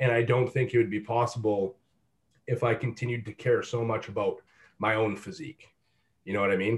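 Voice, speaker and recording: On a very clean recording with a silent background, a man speaks at a fairly quick pace with long, frequent pauses. His medium-pitched voice is somewhat breathy, with fairly even intonation. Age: 20s. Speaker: fitness coach. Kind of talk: casual chat.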